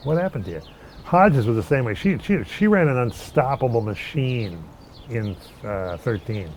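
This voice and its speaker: Somewhat breathy, a man with an American accent speaks with very wide pitch swings. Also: medium pitch for a man, moderate pace. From Minneapolis, Minnesota. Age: 60s. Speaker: longtime local resident. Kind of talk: casual interview conversation. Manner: halting, many false starts.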